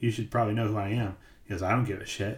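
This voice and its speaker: A man with an American accent speaks very fast at a fairly low pitch, sounding somewhat breathy. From US Midwest. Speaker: podcast host. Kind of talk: casual chat. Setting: live stream.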